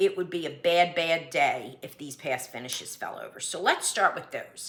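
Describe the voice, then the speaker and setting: A woman with a Philadelphia accent, bright and sharp in tone, at a moderate pace. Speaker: cross-stitch vlogger. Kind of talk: casual vlog monologue. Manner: reads from notes.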